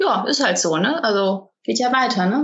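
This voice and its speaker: At a fairly slow pace, a normal speaking voice carries lively intonation. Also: woman. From Cologne, Germany. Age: 30s. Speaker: online marketing entrepreneur. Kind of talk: casual interview.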